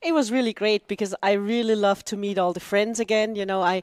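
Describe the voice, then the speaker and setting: A woman with an Austrian accent, medium-pitched and fairly quick, in a dry, close recording with no echo, very clean with a silent background. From Austria, Vienna. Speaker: dragon boat club president, cancer patient. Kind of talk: interview.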